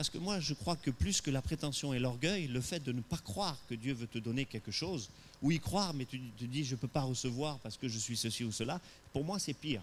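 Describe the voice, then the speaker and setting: A man speaks at a moderate pace and medium pitch, somewhat breathy. His tone is animated and his intonation lively. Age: 60s. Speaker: pastor. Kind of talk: sermon. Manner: hesitant with repetitions.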